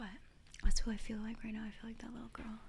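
This woman speaks at a fairly quick pace. Noticeable background noise runs beneath her voice. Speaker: ASMR content creator. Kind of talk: ASMR talk to camera. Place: home room. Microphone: studio mic.

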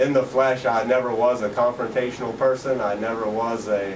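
Against noticeable background noise, a man with an American accent speaks with fairly even intonation. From Pennsylvania, USA. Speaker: street preacher. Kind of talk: interview answer. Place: home room. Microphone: camera far.

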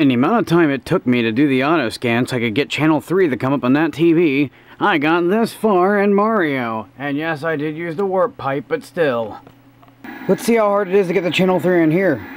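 Against noticeable background noise, a man speaks fairly quickly with lively intonation. His voice is fairly high-pitched. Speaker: gaming YouTuber. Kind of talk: casual tutorial commentary. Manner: quiet, talking softly.

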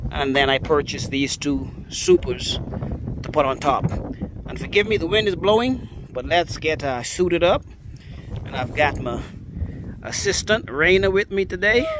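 Amid noticeable background noise, a high-pitched man talks at a moderate pace with lively intonation and long, frequent pauses, the sound dry with no echo. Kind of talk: casual vlog chat. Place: open country. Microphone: phone near.

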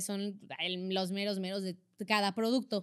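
A woman talks at a very slow pace, captured on a very clean recording with a silent background. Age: 20s. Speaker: actress. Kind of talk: casual chat.

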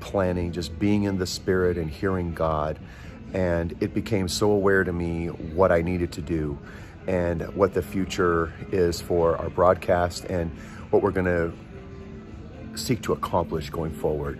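A man with a very deep, low pitch speaks with fairly even intonation. Clear music plays in the background. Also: fairly slow pace. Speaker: broadcast host, prayer minister. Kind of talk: casual vlog chat. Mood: warm, grateful, earnest. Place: station. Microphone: phone near.

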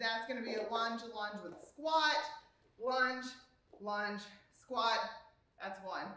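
Fairly slow speech with ordinary pitch variation is heard with audible room echo. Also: woman. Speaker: fitness coach. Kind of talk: workout instruction. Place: garage.

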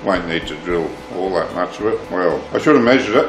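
Faint music plays in the background as a man with a fairly low pitch speaks at a fairly quick pace. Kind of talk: tutorial. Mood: calm, reflective. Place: workshop.

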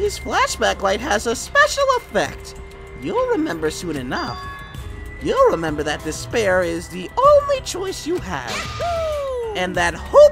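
A put-on character voice at a fairly slow pace over clear music in the background. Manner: menacing, ominous.

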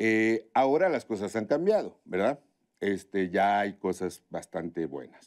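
Against a quiet background, a man speaks with a fairly low pitch and lively intonation. His pace is fairly slow. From Tabasco, Mexico. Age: 50s. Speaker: chef; interview guest. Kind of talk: interview conversation. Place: studio.

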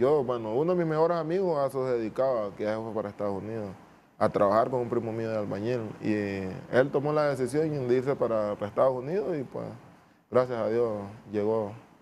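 A man speaks fairly quickly with a Honduran accent. Light noise can be heard behind him. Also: ordinary pitch variation. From Honduras, Nueva Armenia; Honduras. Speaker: footballer; guest. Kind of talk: interview. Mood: calm, reflective. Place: studio. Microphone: lapel.

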